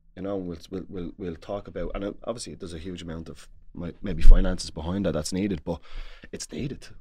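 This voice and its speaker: A man with a Dublin accent speaks at a very fast pace, his very deep, low voice dark and mellow, with fairly even intonation and big swings in loudness. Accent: Dublin Irish. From Dublin, Ireland. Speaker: former Gaelic football player, pundit. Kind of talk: casual sports discussion. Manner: halting, repeats words.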